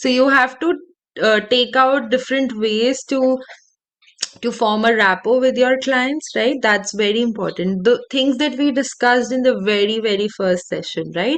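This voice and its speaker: A woman with a fairly high voice talks fairly slowly, her pitch shifting in a normal way. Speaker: counselling trainer. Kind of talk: online class. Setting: video call. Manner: calm, not shouting.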